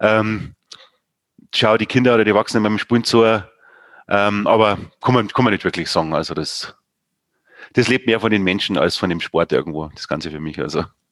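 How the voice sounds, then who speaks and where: Fairly quick speech broken by long, frequent pauses, with ordinary pitch variation and a quiet background. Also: man, fairly low pitch for a man. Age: 40s. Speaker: sports club chairman. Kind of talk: casual interview.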